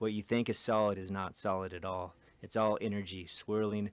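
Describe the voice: Simply plain reading aloud.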